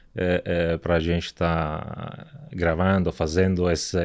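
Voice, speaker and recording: A man with a very deep, low pitch and an Italian accent speaks at a very slow pace. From southern Italy (Apulia). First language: Italian (speaking Portuguese). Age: 40s. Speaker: company director. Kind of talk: podcast interview. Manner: hesitant, many filler words.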